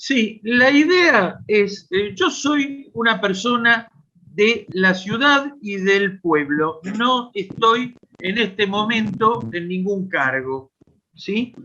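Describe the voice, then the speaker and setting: Speaking at a very slow pace, a man uses a high pitch and lively intonation in a raised, projected voice with a bright, sharp tone. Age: 70s. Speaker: audience member asking a question. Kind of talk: question at a political online meeting.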